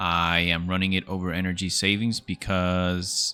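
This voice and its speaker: With a non-native accent and a very deep, low pitch, a man speaks in a monotone, flat intonation as music plays in the background. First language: not English. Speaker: gaming YouTuber. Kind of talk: gameplay guide commentary. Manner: casual, with frequent fillers and hesitations.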